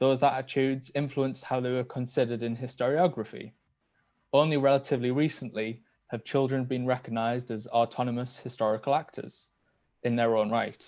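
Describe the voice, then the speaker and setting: A man with a Teesside accent, medium-pitched and flatly monotone, at a fairly quick pace against a quiet background. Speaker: PhD researcher. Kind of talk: academic seminar talk. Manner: hesitant, many filler ums.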